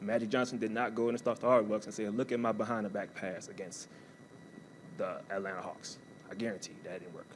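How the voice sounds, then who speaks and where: Over audible room echo, a man of medium pitch speaks at a very fast pace with fairly even intonation. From US South, New Orleans, Louisiana. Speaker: college athletics staff, former athlete and army veteran. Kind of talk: motivational talk. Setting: stage with audience.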